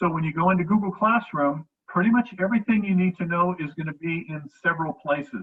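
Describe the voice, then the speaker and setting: A man speaks at a fairly quick pace in a high pitch. His pitch varies in an ordinary way. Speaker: middle school teacher. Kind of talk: online class instruction. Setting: video call.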